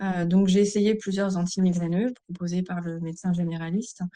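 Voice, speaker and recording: Speaking in monotone, flat intonation at a moderate pace, a woman has a medium pitch and a dark, mellow tone. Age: 40s. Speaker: migraine patient giving testimony. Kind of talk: testimony.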